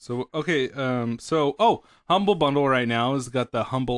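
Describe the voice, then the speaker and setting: A man with an ordinary speaking voice talks at a medium pitch and a moderate pace, with ordinary pitch variation, in a dry, close recording with no echo and a quiet background. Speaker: podcast host. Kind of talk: casual chat, comedic banter. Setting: live stream. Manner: casual, profane, joking.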